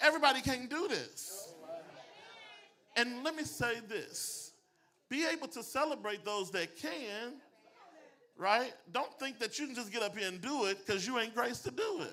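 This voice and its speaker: A man speaks in a raised, projected voice at an extremely high pitch, his tone bright, sharp and animated with lively intonation. He keeps a moderate pace, broken by long, frequent pauses. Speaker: pastor and public speaking coach. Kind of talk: motivational talk to a live audience. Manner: preachy, animated delivery.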